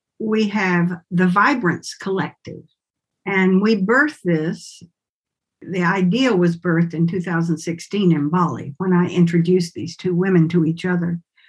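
A woman's somewhat breathy, fairly low voice with a slight Southern US accent, a fairly slow pace and ordinary pitch variation. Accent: slight Southern lilt. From US South, Winston-Salem, North Carolina. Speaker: somatic movement and healing arts educator. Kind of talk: interview conversation.

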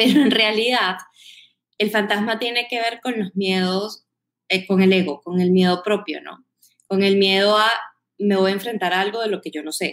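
Speaking at a moderate pace with long, frequent pauses, a woman keeps a medium pitch and fairly even intonation. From Venezuela, Caracas. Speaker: marketing executive. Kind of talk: podcast interview.

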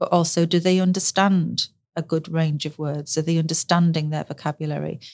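Monotone, flat intonation marks this northern English accent at a fairly quick pace. The sound is dry and close with no echo. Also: woman, fairly low pitch for a woman. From northern England. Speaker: speech and language therapist. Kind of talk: casual interview chat.

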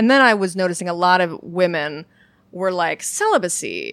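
In a very clean recording with a silent background, a woman speaks at a moderate pace with medium pitch and an ordinary speaking voice. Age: 30s. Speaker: humorist and author. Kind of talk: casual chat.

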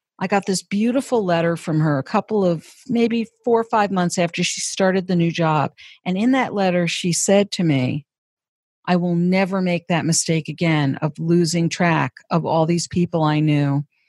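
A woman speaks in a plain, everyday voice at a moderate pace, with ordinary pitch variation. The sound is dry and close with no echo, on a very clean recording with a silent background. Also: fairly low pitch for a woman, very even loudness. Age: 50s. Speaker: career and executive coach. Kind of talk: interview. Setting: office.

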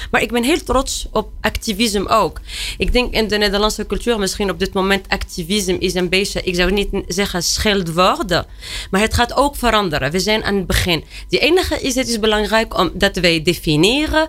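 A woman at a moderate pace with lively intonation and noticeable background noise. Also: medium pitch for a woman, very even loudness. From Tunisia. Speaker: director of a women's emancipation institute, activist. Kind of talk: panel discussion. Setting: studio.

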